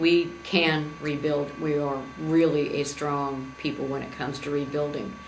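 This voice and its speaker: In a very deep, low voice, a woman speaks at a fairly slow pace with monotone, flat intonation, amid audible room echo and noticeable background noise. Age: 60s. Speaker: political candidate. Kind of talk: campaign speech. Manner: halting.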